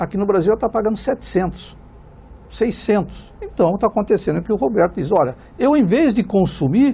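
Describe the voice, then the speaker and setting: A man's high-pitched voice with a dark, mellow tone, at a fairly quick pace. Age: 60s. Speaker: economics professor. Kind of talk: TV panel debate. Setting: studio. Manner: halting, many fillers.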